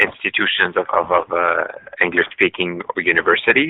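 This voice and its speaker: A Quebec accent at a moderate pace. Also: man. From Eastern Quebec. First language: French. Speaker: politician. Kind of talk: interview. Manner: halting, many fillers.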